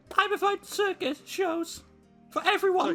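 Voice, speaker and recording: A man does a squeaky, put-on character voice with faint music in the background. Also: moderate pace. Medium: game stream.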